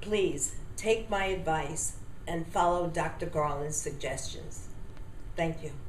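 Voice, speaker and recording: The speech moves at a very slow pace with fairly even intonation. Light background noise and audible room echo are present. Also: woman, fairly low pitch for a woman. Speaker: testimonial giver. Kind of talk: customer testimonial. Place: home room. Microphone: webcam.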